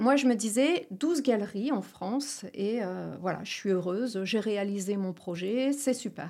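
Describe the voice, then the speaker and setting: The tone is dark and mellow, with lively intonation. The pace is fairly slow, with hardly any pauses. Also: woman, fairly high pitch for a woman. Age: 50s. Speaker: entrepreneur, franchise founder. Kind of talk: interview.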